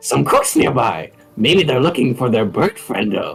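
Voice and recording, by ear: A man does a put-on character voice at a medium pitch while faint music plays in the background. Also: moderate pace.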